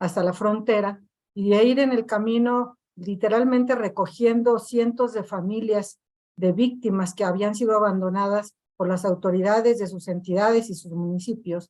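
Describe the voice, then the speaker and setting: In an ordinary speaking voice, a woman talks at a moderate pace and medium pitch with fairly even intonation against a quiet background. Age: 60s. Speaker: victims' collective activist. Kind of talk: panel discussion.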